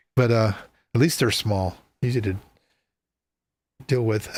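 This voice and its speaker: A man talks at a moderate pace. He leaves long, frequent pauses, and the recording is very clean with a silent background. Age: 60s. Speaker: live show host. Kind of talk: casual interview chat. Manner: halting, many fillers.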